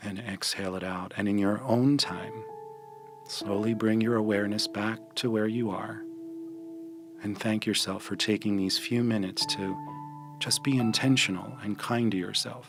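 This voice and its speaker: Music plays in the background as a man speaks at a moderate pace in a fairly low pitch with ordinary pitch variation. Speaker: meditation guide. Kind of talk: guided meditation.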